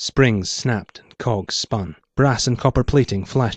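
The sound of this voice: In an unforced reading voice with ordinary pitch variation, the speaker is heard over a quiet background.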